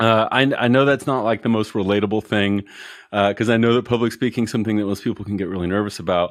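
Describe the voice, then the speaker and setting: A man speaks very fast in a fairly low voice. His intonation stays fairly even. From Colorado. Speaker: e-commerce business owner. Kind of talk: casual interview chat. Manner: relaxed, many fillers.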